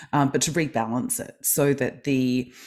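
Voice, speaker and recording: A woman's very deep, low voice in an Australian accent, dark and mellow in tone, with fairly even intonation. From Australia, Melbourne. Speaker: kinesiologist and life coach. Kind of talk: interview.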